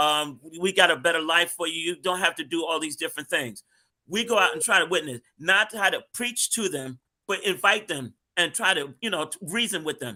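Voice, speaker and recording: Bright, sharp tone and lively intonation carry the speech along at a moderate pace. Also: man, high pitch for a man. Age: 60s. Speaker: street minister. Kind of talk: panel discussion.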